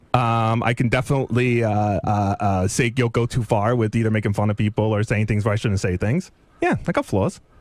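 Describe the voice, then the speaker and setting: With very even loudness and hardly any pauses, a man talks at a fairly quick pace and a medium pitch. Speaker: radio show staffer. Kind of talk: heated on-air argument.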